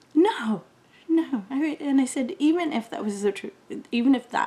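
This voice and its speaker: In a Canadian accent, a woman speaks with lively intonation at a moderate pace. Noticeable background noise runs underneath. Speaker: beauty vlogger. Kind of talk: casual chat.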